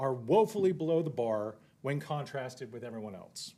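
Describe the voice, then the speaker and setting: The pace is moderate. A man's pitch rises and falls very widely. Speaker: public commenter at school board meeting. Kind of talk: public comment speech. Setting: meeting room. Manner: animated; loud.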